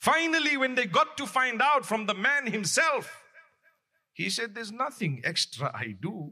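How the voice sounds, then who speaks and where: Raised and projected, a man's bright, sharp voice rings at an extremely high pitch, with lively intonation at a moderate pace. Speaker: Islamic preacher. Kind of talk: sermon. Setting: mosque. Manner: loud, raised voice.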